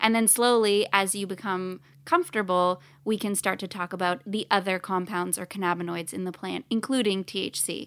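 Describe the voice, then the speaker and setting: With a normal speaking voice, a woman speaks at a moderate pace and medium pitch with fairly even intonation, in a very clean recording with a silent background. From Canada. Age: 30s. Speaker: cannabis brand co-founder. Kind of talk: casual interview chat. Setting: studio.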